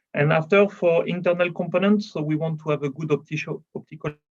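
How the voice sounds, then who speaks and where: A man with a French accent speaks at a very fast pace with ordinary pitch variation, the sound dry and close with no echo. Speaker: automotive lighting engineer. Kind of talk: conference presentation. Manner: hesitant, with fillers.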